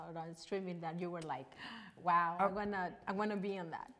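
A woman speaks at a fairly quick pace with a Mexican accent. Her pitch varies in an ordinary way. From Mexico. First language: Spanish. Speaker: online talk show host. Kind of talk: casual interview. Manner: animated, excitable. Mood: cheerful, laughing. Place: studio.

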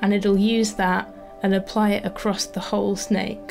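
With music in the background, a woman delivers her words at a fairly slow pace. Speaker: papercraft designer. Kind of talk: tutorial.

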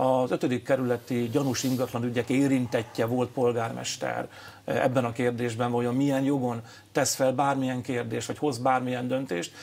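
Speaking at a moderate pace, a man keeps a monotone, flat intonation. His delivery does not rise or fall. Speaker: politician guest. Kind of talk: interview answer. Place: studio. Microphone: lapel.

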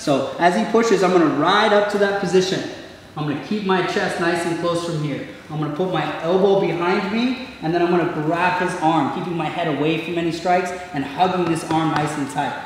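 With strong room echo and light background noise, a high-pitched man talks at a fairly quick pace in fairly even intonation. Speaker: martial arts instructor. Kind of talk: tutorial. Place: gym.

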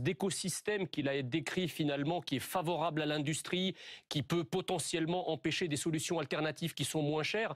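A man's fairly high voice at a fairly quick pace, with ordinary pitch variation, a dry sound with no echo and a quiet background. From Egypt. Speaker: politician and economist; politician. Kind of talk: radio interview. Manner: hesitant, many filler sounds. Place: studio. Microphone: lapel.

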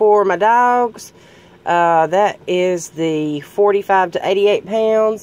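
A woman speaks at a slow pace at medium pitch, her tone clear and smooth and her intonation lively.

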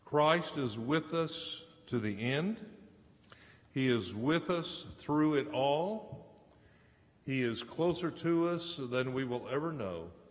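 A man at a medium pitch, slow in pace, with lively intonation

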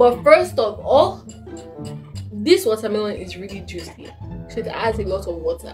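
Faint music plays in the background while a woman speaks at a moderate pace. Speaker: food taste-test vlogger. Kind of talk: casual vlog chat. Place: home room.

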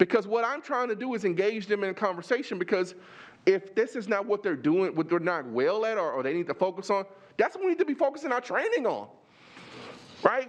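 A man with a Texas accent talks at a fairly quick pace in a high pitch, with an animated tone and lively intonation. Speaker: superintendent candidate. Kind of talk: job interview. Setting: board meeting room. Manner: repetitive, halting restarts.

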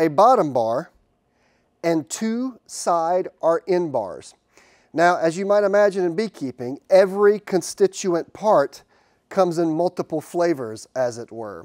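A high-pitched man at a very slow pace over a quiet background. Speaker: beekeeping educator. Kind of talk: tutorial. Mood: friendly, enthusiastic. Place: workshop. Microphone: lapel.

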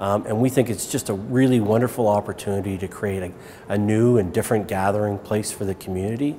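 A man's fairly low voice at a very fast pace, with fairly even intonation and light background noise. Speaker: shopping centre director. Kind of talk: interview answer. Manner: hesitant, many fillers. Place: shop.

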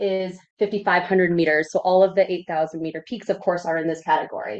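A woman with an American accent is talking. Her pace is fairly quick. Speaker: emergency medicine physician. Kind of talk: lecture. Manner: fast.

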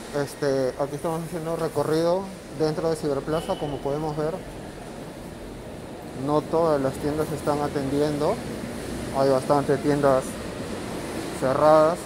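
Long, frequent pauses break up speech delivered at a moderate pace. Noticeable background noise is present. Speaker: vlogger touring a mall. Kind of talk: casual vlog commentary. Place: market. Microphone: phone near.

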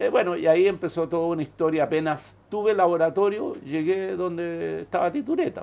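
A high-pitched man in a Chilean accent, fairly quick with hardly any pauses and ordinary pitch variation. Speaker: biochemist; interviewee. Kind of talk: interview; interview answer. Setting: studio. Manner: halting, many repetitions. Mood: reflective, calm recollection. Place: office.

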